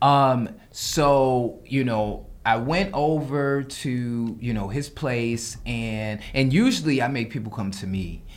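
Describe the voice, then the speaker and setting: In a New York accent, the speaker goes at a very slow pace with hardly any pauses and ordinary pitch variation, with audible room echo. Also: man, medium pitch for a man. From New York, the Bronx. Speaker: menswear designer and stylist. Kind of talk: casual chat.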